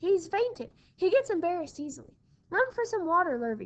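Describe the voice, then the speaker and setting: A woman's put-on character voice, squeaky and extremely high in pitch, at a fairly quick pace. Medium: read story. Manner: excited, hollering.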